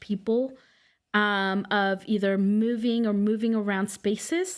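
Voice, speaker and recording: Speaking with a Spanish accent, a woman keeps a fairly slow pace. Her pitch varies in an ordinary way. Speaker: immigration legal clinic director. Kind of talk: podcast interview.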